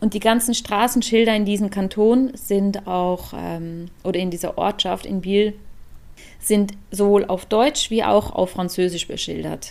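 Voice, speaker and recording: With fairly even intonation and a medium pitch, a woman delivers her words at a fairly slow pace. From Switzerland. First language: Swiss German (speaking German). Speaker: podcast co-host. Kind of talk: casual chat.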